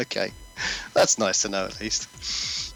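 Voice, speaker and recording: A man's voice with music in the background. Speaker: co-host. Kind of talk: casual chat. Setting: live stream.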